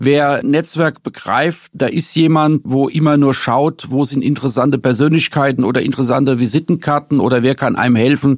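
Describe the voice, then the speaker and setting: A man speaks at medium pitch and a moderate pace. His pitch variation is ordinary. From Rhineland-Palatinate, Worms area. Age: 50s. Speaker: businessman and politician. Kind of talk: interview. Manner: hesitant filler sounds.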